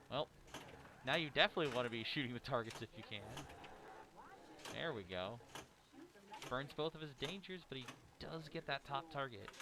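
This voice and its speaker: Speaking at a fairly quick pace with long, frequent pauses, a man uses lively intonation at a medium pitch. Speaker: pinball commentator. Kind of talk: live commentary. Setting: tournament venue with a game playing in the room.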